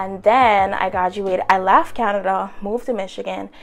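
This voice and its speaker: Music plays in the background. A woman speaks at medium pitch. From Bahamas. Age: 20s. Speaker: lifestyle vlogger. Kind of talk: casual chat. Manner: animated.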